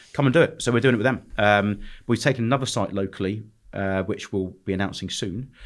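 Speaking at a very fast pace, a man with a London accent has a fairly low pitch. His pitch varies in an ordinary way. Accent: southern English (London). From London, England. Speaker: restaurant and nightclub entrepreneur. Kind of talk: podcast interview. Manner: casual, hesitant with fillers.

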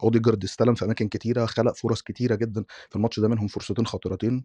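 A man talks at a very fast pace with a medium-pitched, dark and mellow tone. The sound is dry and close with no echo. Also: quiet background. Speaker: football podcast guest, Arsenal fan. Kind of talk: casual chat about football.

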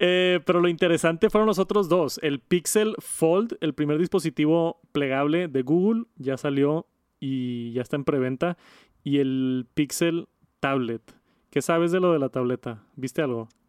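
An ordinary speaking voice, fairly slow in pace, with ordinary pitch variation and a dry, close sound with no echo. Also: man, fairly high pitch for a man. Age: 30s. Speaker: tech podcast host and youtuber. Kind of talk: casual chat.

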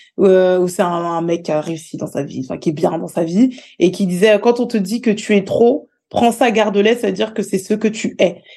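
Against a quiet background, a woman speaks at a medium pitch in a dark, mellow tone. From Paris region, France (Val-d'Oise, near Sarcelles). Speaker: social media content creator. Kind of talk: casual interview conversation.

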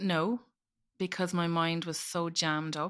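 In a very clean recording with a silent background, a woman with an Irish accent speaks at a moderate pace in a fairly low, bright and sharp voice with flat, monotone intonation. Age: 40s. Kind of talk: personal testimony in interview.

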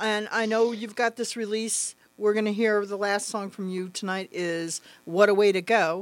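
Here a woman speaks at a fairly slow pace. She has an unremarkable speaking voice with a fairly high pitch. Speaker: radio co-host. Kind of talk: radio DJ patter, news-style segment. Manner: bright, playful, upbeat, giggly.

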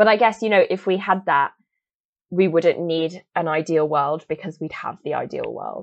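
A woman with a southern English accent speaks at a moderate pace and a fairly low pitch. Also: ordinary pitch variation. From England, Oxford. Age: 20s. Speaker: climate activist and photographer. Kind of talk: casual interview.

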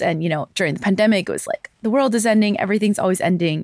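A woman with a New York accent speaks with ordinary pitch variation. The recording is very clean, silent in the background, and dry and close with no echo. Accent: American (New York). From US, New York City. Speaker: climate advocate and journalist. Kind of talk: interview conversation. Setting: studio, in person in London.

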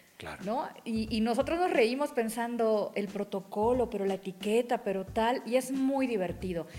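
Over noticeable background noise, a woman talks in a fairly high pitch. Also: ordinary pitch variation, moderate pace, hardly any pauses. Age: 40s. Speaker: journalist on royalty and etiquette. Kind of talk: casual interview.

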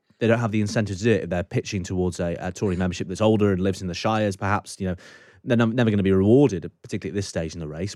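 On a very clean recording with a silent background, a man with a British accent speaks very fast in a very deep, low voice with fairly even intonation. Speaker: podcast host. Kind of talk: scripted intro and casual interview.

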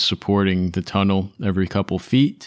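Fairly slow and fairly low-pitched, a man talks in an ordinary speaking voice. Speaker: dungeon master. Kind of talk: casual chat.

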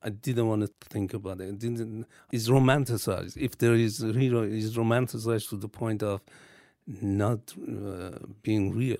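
A man in a Persian accent speaks at medium pitch and a moderate pace, with a dark, mellow tone and fairly even intonation, on a very clean recording with a silent background. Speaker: artist. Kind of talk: interview. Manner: halting.

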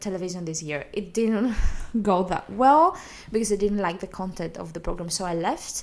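A woman speaks with a Greek accent and ordinary pitch variation. Noticeable background noise runs behind her. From Greece. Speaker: comedian. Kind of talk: interview.

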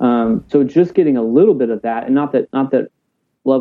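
This man talks with a Texan accent. His pace is fairly quick. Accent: Texan American. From South Texas, Corpus Christi. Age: 30s. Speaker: pastor. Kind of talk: casual chat. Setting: video call.

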